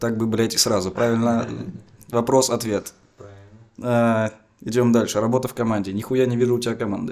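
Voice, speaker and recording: With long, frequent pauses, a man speaks at a medium pitch and a moderate pace in a monotone, flat intonation. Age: young. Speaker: comedian co-host. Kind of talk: comedic interview.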